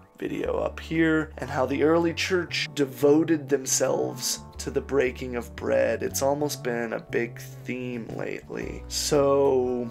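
With clear music in the background, a man speaks at a very slow pace. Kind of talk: sermon. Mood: earnest, vulnerable. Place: home room. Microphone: studio mic.

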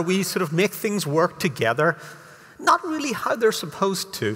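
His pitch swings very widely. The man keeps a moderate pace. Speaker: conference speaker. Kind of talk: lecture. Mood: humorous, lively. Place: stage.

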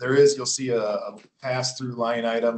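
A man at a medium pitch, speaking at a fairly quick pace. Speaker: county emergency management coordinator. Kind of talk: budget presentation at public meeting. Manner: fast.

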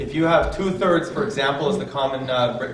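There is audible echo in the room while a man talks at a moderate speed. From Canada. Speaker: workshop moderator. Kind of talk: public talk. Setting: public workshop with audience. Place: hall.

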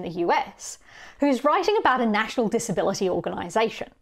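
A woman with an Australian accent at a fairly quick pace, with very wide pitch swings over a quiet background. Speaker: conference speaker on accessibility; conference speaker. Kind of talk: recorded conference talk. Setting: pre-recorded video for an online conference. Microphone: webcam.

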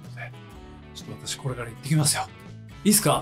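A man talks while clear music can be heard behind him. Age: 50s. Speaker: guitarist. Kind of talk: casual talk to camera. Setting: backstage dressing room. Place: home room. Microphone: camera far.

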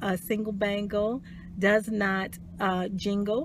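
A woman with a medium pitch sounds somewhat breathy, with a dry sound with no echo and light background noise. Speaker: life coach. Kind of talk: motivational talk. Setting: live video stream. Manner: soft-spoken. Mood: warm, encouraging. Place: car. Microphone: phone near.

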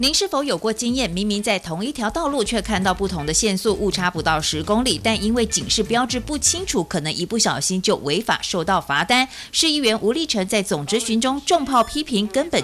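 Speaking with a Taiwanese accent, a woman uses a fairly high voice with very wide pitch swings at a fairly quick pace over noticeable background noise. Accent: Taiwanese Mandarin. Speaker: news reporter. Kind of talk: news reading.

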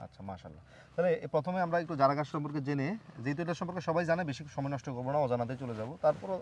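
With a fairly high pitch, a man talks in an ordinary speaking voice with ordinary pitch variation. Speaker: farming video host. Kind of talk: casual interview; presenter intro to camera.

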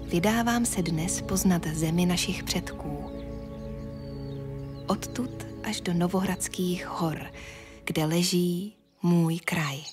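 Music plays behind a woman whose fairly low voice shows ordinary pitch variation as she speaks at a very slow pace with long, frequent pauses. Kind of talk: documentary narration.

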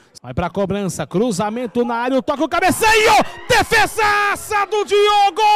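The speaker has an animated tone, very wide pitch swings and a fairly slow pace, with noticeable background noise. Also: man, extremely high pitch for a man. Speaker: football commentator. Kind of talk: live football commentary. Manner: animated, breathless, with bursts of laughter.

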